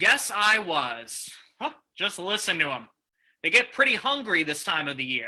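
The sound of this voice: Putting on a character voice, a man speaks at a high pitch and a moderate pace, his bright, sharp tone marked by big pitch swings.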